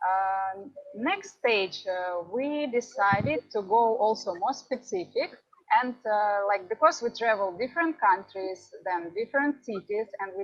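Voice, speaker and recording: In a Ukrainian accent, a woman speaks at a fairly slow pace with lively intonation and a fairly high pitch. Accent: Ukrainian-Russian accented English. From Ukraine. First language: Russian. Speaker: travel vlogger. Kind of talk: conference talk. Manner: halting.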